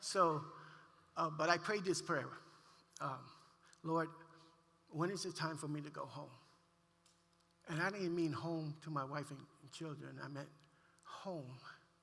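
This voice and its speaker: With long, frequent pauses and audible room echo, a man speaks at a fairly slow pace in a fairly high pitch with fairly even intonation. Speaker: pastor. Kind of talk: testimony. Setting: church.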